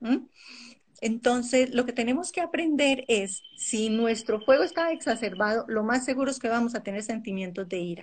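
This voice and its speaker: Intonation is lively. The background is quiet. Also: woman, high pitch for a woman, moderate pace. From Colombia. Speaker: naturopath and Ayurveda coach. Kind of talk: interview on a live stream.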